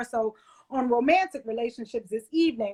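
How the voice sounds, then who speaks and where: A woman speaks in a high pitch. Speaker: live show host. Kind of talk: live interview chat. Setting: livestream.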